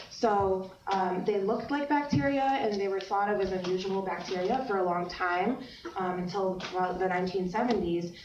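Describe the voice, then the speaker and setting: Amid noticeable background noise and audible room echo, a woman talks at medium pitch and a moderate pace, with very even loudness and ordinary pitch variation. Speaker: university lecturer. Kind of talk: lecture. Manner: hesitant, many fillers.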